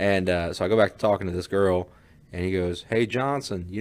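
The speaker is a man with a fairly low pitch. He talks at a very fast pace. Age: 20s. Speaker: podcast co-host. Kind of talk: casual chat.

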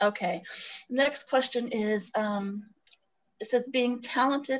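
At a fairly slow tempo, a somewhat breathy voice talks with ordinary pitch variation. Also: woman. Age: 40s. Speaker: podcast co-host. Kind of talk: casual chat.

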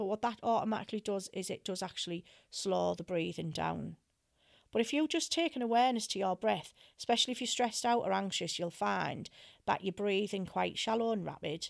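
A woman talks at a fairly quick pace with lively intonation and a fairly high pitch, in a plain, everyday voice. The recording is very clean, with a silent background. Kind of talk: guided meditation.

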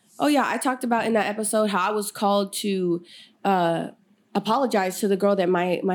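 The recording is very clean with a silent background. A woman with an American accent speaks at a medium pitch with ordinary pitch variation and very even loudness. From Sacramento area, California. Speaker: podcast host and mentor. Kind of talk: casual interview chat.

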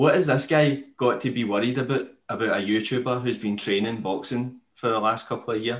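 Fairly even intonation from a man speaking at a fairly quick pace. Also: medium pitch for a man. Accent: Scottish. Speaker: podcast host. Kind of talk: casual chat. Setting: video call.

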